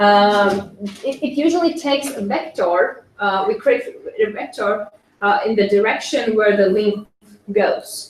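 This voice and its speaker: Speaking at a fairly slow pace with a non-native accent, this voice has lively intonation. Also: woman, fairly high pitch for a woman. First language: not English. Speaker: SCENAR practitioner. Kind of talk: conference presentation. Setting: conference with audience. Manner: halting, many fillers.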